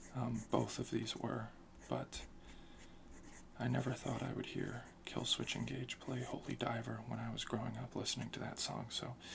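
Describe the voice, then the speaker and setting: Amid noticeable background noise, a soft-spoken voice talks at a moderate pace. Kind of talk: ASMR soft-spoken talk.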